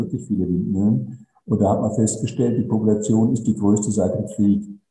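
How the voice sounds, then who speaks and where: With a dark, mellow, somewhat breathy tone, a man at a medium pitch speaks at a moderate pace. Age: 70s. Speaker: renewable energy company director. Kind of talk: interview. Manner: concise.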